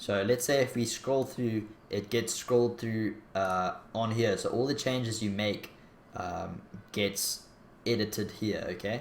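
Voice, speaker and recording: A man with a strong Afrikaans accent talks at a fairly slow pace with fairly even intonation. The recording carries light background noise and audible room echo. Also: medium pitch for a man. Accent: Afrikaans accent, strong by own account. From South Africa. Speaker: YouTuber. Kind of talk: tutorial. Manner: casual, hesitant with fillers.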